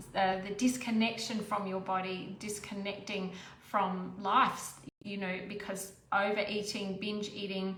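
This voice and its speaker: Woman's voice, very slow and monotone, with flat intonation, noticeable background noise and audible room echo. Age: 60s. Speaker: menopause weight coach. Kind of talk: talking-head monologue. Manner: conversational, with fillers and restarts.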